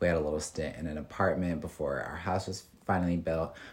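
This man talks at a fairly quick pace in an American accent. His pitch is very deep and low. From US Midwest, Detroit area and Chicago suburbs. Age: young. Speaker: podcast co-host, college student. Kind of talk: casual chat. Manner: animated.

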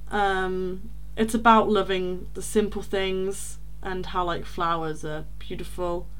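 A woman with an East Midlands accent at a fairly slow pace. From rural Leicestershire. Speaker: podcast co-host. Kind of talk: casual chat.

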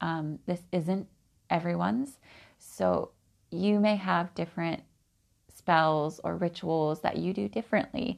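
Her voice is fairly low for a woman, with lively intonation and a West Coast accent. The background is quiet. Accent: American West Coast. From Oregon, US Pacific Northwest. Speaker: podcast host, spiritual practitioner. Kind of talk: personal monologue.

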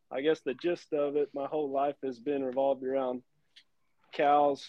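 Someone with a Texan accent speaks at a moderate pace in a monotone, flat intonation. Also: man. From South Texas. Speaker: cattle breeding business owner and podcaster. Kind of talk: casual interview.

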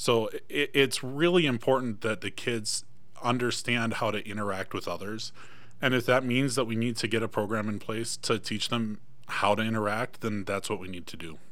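A man speaks at a moderate pace with a medium pitch and ordinary pitch variation. There is audible echo from the room. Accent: American. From Michigan. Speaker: school board candidate. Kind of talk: political debate. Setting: studio.

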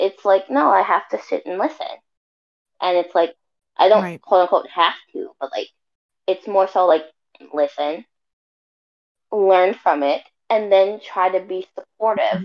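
This woman speaks at a moderate pace and medium pitch, with ordinary pitch variation and long, frequent pauses. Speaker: co-host. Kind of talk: casual chat. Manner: blunt, confident.

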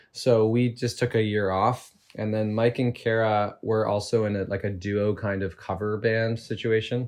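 This man has a Canadian accent and a fairly low pitch, speaking in a monotone, flat intonation. His pace is moderate, with hardly any pauses. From Canada, Toronto suburbs. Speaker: lead singer of a band. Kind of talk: casual chat.

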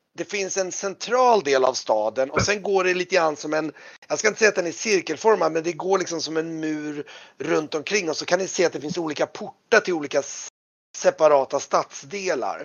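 A man talks with vocal fry and ordinary pitch variation.

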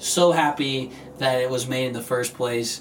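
A man speaks at a fairly slow pace with fairly even intonation, and there is audible echo in the room. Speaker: podcast host. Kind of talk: casual chat.

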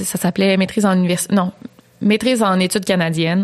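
Keeping her intonation fairly even, a woman speaks at a medium pitch in a normal speaking voice. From Quebec. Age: 20s. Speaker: true crime YouTuber. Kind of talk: storytelling; casual chat.

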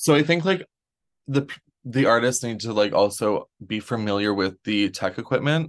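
A man with a Canadian accent has a plain, everyday voice at a medium pitch. He speaks at a moderate pace with lively intonation against a quiet background. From Canada. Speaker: drag performer and farmer. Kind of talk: casual interview chat.

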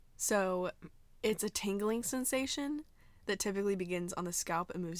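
Here is a normal speaking voice with an American accent. The intonation is lively and the pace moderate. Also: woman. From Arizona. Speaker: podcast host. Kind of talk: casual chat. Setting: walk-in closet at a house.

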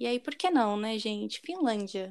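A fairly high-pitched woman's voice in a very clean recording with a silent background. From Brazil. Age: 20s. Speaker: podcast co-host. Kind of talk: casual chat.

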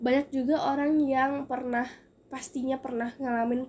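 Speaking at a fairly slow pace, a woman keeps a high pitch and fairly even intonation. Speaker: podcast host, university student. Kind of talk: casual monologue. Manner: chatty.

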